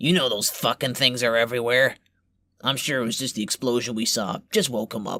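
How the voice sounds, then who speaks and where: A man performs a put-on character voice, raspy and confident at medium pitch, in a very clean recording with a silent background. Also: fairly quick pace. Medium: audio drama. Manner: gruff, crude, confident.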